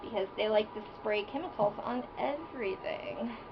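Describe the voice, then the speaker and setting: A woman's fairly high voice, lively in intonation, at a very slow pace over noticeable background noise. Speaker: isopod and reptile keeper. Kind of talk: casual talk to camera, hobby tutorial.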